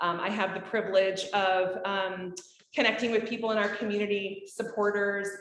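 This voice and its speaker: A woman talks in a monotone with flat intonation. There is audible room echo. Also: medium pitch for a woman, moderate pace. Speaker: nonprofit development director. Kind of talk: award presentation speech. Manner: loud; hesitant, many fillers.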